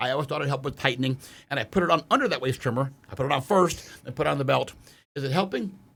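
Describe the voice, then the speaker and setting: A man with a fairly high pitch and an animated tone at a very fast pace, with ordinary pitch variation. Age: 60s. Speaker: powerlifter. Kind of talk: casual chat.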